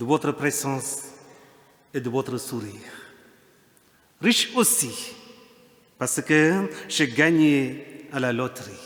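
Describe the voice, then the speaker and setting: Very slowly and with long, frequent pauses, a man speaks at a fairly high pitch with ordinary pitch variation. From India. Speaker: priest. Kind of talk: sermon. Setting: church.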